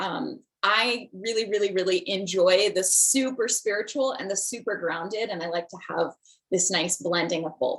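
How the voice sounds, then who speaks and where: A woman's medium-pitched voice at a moderate pace with ordinary pitch variation, an ordinary speaking voice. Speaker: spiritual teacher and medium. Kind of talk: online class.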